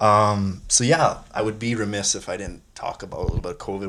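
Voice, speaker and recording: Speaking at a very fast pace in a Canadian prairie accent, a man uses a fairly low pitch and fairly even intonation in a very clean recording with a silent background. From Saskatchewan, Canada (Wadena). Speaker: podcast host. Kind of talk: interview. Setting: cabin.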